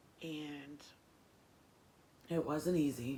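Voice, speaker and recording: Audible room echo surrounds a speaker with an American accent and ordinary pitch variation. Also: woman. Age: 30s. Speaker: former juvenile offender. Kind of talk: interview testimony. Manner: hesitant, many fillers.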